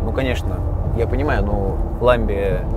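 A man speaks in a dry sound with no echo while music plays in the background. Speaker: car blogger driving. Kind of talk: casual vlog chat. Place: car.

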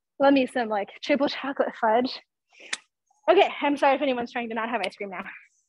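Over light background noise, a woman with a high pitch talks very fast in an animated, upbeat tone, with long, frequent pauses. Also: ordinary pitch variation, dry sound with no echo. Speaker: fitness instructor. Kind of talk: live fitness class instruction, leading a workout. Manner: animated, upbeat, encouraging; fast, cue-driven, laughing and joking between cues. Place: gym.

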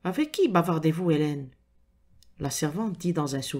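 On a very clean recording with a silent background, a woman with a fairly low pitch speaks at a fairly slow pace, somewhat breathy, her intonation lively. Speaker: audiobook narrator. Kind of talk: reading aloud a detective story with character voices. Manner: dramatic, suspenseful narration with atmospheric pacing.

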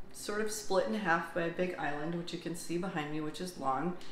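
Light background noise and audible room echo surround a woman speaking at a fairly low pitch. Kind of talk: casual vlog chat. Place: kitchen. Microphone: phone near.

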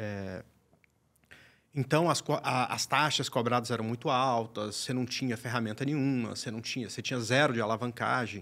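A man's bright, sharp tone comes at a moderate pace with fairly even intonation. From Brazil. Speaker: day trader and trading teacher; guest. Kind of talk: tutorial; interview answer. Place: studio. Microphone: studio mic.

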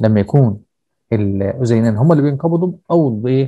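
Against a quiet background, a man with a medium pitch and a dark, mellow tone speaks somewhat breathily at a fairly quick pace, with ordinary pitch variation. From Egypt. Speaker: teacher. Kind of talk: lecture. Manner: explanatory, repetitive with filler checks. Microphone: video call.

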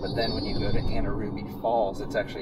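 The voice comes through with a dry sound with no echo, set against loud background noise. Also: man. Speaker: travel vlogger. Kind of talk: casual vlog chat. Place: car. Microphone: phone near.

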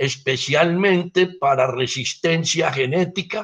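The background is quiet as a man talks, his pitch varying in an ordinary way. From Colombia. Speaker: cacao agronomist, research director; guest. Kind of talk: lecture. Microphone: video call.

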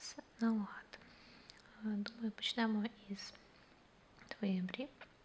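A soft-spoken woman with a fairly high pitch talks at a fairly slow pace in a monotone, flat intonation over noticeable background noise. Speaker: ASMR creator. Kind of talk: ASMR personal attention role play.

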